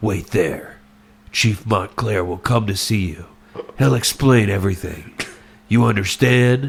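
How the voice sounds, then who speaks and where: A put-on character voice, gravelly and fairly slow, uses ordinary pitch variation. Long, frequent pauses break up the speech. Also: man, fairly low pitch for a man. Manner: tough, gritty.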